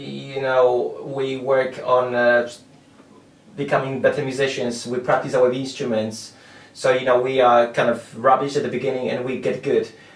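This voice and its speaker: A man with medium pitch speaks at a moderate pace. Audible room echo and noticeable background noise surround him. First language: not English. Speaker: guitar school teacher. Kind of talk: interview. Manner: halting.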